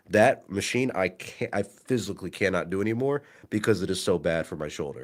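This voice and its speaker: A man's fairly low, ordinary speaking voice at a fairly quick pace, with ordinary pitch variation. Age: young. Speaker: podcast co-host. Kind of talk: casual chat.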